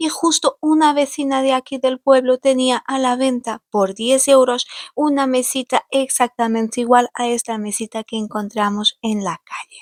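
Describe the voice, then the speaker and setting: A woman with a high pitch speaks at a fairly slow pace, hardly pausing. Her intonation is fairly even, and the sound is dry and close with no echo. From Portugal. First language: Portuguese (speaking Spanish). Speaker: furniture restoration youtuber. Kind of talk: vlog narration.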